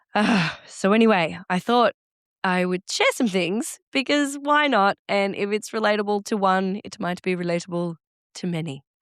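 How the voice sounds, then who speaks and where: Speaking with an Australian accent, a woman uses lively intonation at a medium pitch and a moderate pace, captured in a very clean, dry, close recording with no echo and a silent background. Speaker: podcast host. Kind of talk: solo podcast monologue.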